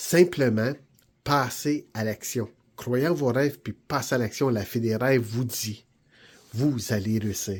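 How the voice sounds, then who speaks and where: With a slight Franco-Ontarian accent, a man speaks at medium pitch in an enthusiastic tone. His speech has long, frequent pauses. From Ontario, Canada (Franco-Ontarian). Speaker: vlogger and aspiring TV host. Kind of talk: motivational vlog. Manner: enthusiastic, encouraging.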